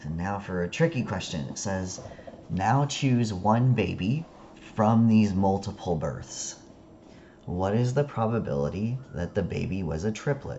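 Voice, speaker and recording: A man speaks at a fairly slow pace with a fairly low pitch and lively intonation. Room echo can be heard. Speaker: statistics instructor. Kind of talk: lecture.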